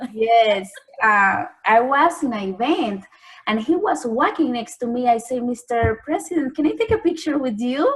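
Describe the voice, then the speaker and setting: This woman speaks with a strong Spanish accent at a moderate pace. Her pitch is high and swings very widely. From Panama. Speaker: journalist and TV anchor. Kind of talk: interview. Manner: lilting.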